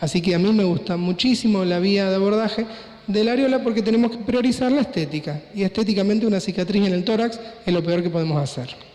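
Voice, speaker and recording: Over audible room echo and noticeable background noise, a man with a high voice talks at a very fast pace, with ordinary pitch variation and very even loudness. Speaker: plastic surgeon / doctor. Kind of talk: conference lecture.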